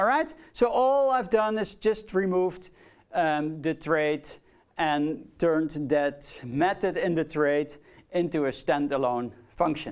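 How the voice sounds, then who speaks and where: On a very clean recording with a silent background, someone speaks at a very slow pace in a Dutch accent. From Netherlands. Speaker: university lecturer. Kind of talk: lecture. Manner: hesitant, many fillers.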